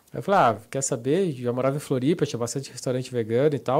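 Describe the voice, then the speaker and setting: The man's voice has a dark, mellow tone. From Santa Catarina, Brazil. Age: 30s. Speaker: professional poker player. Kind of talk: casual interview. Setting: studio.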